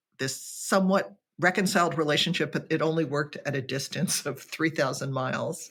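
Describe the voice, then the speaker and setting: A woman's normal speaking voice, fairly low in pitch, at a moderate pace with ordinary pitch variation, in a very clean recording with a silent background. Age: 60s. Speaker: author and writing teacher. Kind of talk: interview conversation. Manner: reflective, with many fillers and restarts.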